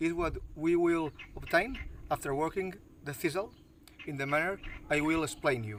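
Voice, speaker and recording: Fairly high male voice in a Catalan accent, fairly slow, with ordinary pitch variation. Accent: non-native English, Catalan. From Catalonia, Spain (Maestrat, Valencian country). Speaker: bushcraft instructor. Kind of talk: outdoor tutorial. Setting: outdoors, backyard; outdoors near a road. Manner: halting, with fillers.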